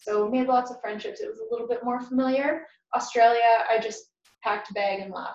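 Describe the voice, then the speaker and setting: Audible room echo surrounds a woman with a fairly high pitch and fairly even intonation. Her loudness swings widely. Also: fairly quick pace. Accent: western Canadian. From southern Alberta, Canada (Lethbridge). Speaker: nurse and massage therapist. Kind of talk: interview.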